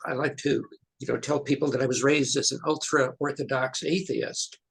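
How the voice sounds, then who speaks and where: Somewhat breathy, a man with an American accent speaks at a fairly high pitch. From New York. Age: 70s. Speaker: scientist. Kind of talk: interview. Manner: halting.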